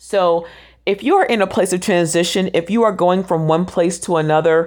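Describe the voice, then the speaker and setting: A woman with an unremarkable speaking voice, fairly low in pitch, at a moderate pace with fairly even intonation, on a very clean recording with a silent background. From US South, Orlando, Florida. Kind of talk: devotional monologue, encouraging talk. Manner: casual, with frequent fillers.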